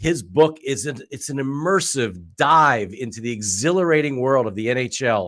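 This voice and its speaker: With a plain, everyday voice at a medium pitch, a man talks at a moderate pace with lively intonation and hardly any pauses, on a very clean recording with a silent background. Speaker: venture capitalist, show host. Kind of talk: podcast interview host.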